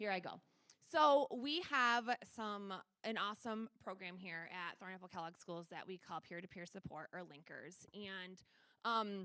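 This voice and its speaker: Loud and at a fairly slow pace, a woman talks with ordinary pitch variation. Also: medium pitch for a woman. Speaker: school special education director. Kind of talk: presentation at a school board meeting. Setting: board meeting room with microphone.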